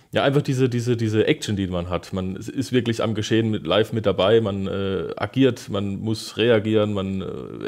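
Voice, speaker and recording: Fairly low in pitch, a man with an unremarkable speaking voice talks at a moderate pace. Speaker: traffic controller at a transit company. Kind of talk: casual interview. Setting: conference room with glass wall.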